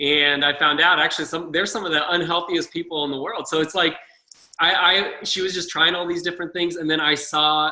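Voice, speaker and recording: A man's high-pitched voice at a fairly quick pace, monotone and flat in intonation. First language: not English (first generation immigrant). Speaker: health coach, former electrician. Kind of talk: personal testimony.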